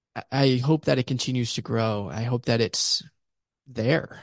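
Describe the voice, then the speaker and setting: With an American accent, a man speaks at a fairly slow pace in a medium pitch with ordinary pitch variation. The sound is dry and close with no echo, over a quiet background. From Pittsburgh, Pennsylvania. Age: young. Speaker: podcast co-host. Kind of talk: casual chat. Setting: video call.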